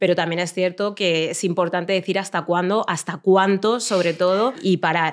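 A woman talks in an ordinary speaking voice at a medium pitch and moderate pace, with fairly even intonation and a quiet background. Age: 40s. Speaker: journalist and activist; journalist. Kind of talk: casual chat. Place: studio. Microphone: studio mic.

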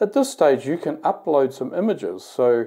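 Against a quiet background, a man with a dark, mellow tone speaks at a moderate pace. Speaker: company executive demonstrating app. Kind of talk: tutorial. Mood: calm, explanatory. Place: bathroom.

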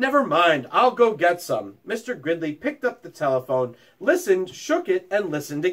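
This is an unforced reading voice. It carries the words without strain.

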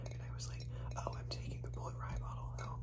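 Over loud background noise, a soft-spoken man whispers in an American accent. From United States. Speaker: ASMR vlogger. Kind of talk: ASMR bottle tapping, casual talk to camera. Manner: whispered, soft. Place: home room. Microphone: phone near.

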